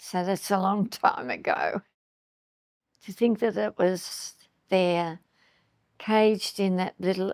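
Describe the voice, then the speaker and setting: A woman in an Australian accent, medium-pitched, very slow in pace, with fairly even intonation. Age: 90s. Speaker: eyewitness interviewee. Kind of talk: interview testimony. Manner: halting.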